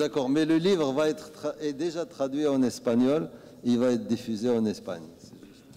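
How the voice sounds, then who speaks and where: An ordinary speaking voice from a man at medium pitch and moderate pace, with lively intonation and big swings in loudness. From Morocco. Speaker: author. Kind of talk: answering audience questions at book talk. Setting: book club event with audience.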